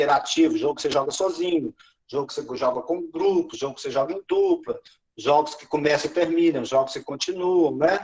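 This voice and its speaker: His loudness swings widely as this man talks fairly quickly. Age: 60s. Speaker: education trainer / pedagogical advisor. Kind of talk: teacher training session.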